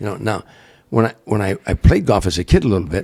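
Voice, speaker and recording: Animated and somewhat breathy, a man speaks at a fairly quick pace in a very deep, low voice. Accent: American. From Chicago area, US Midwest. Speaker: comedian. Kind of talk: casual interview storytelling. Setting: in the guest's home. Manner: animated, repetitive false starts.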